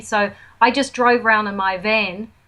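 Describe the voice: A woman speaks with a fairly bright tone. Her pitch varies in an ordinary way.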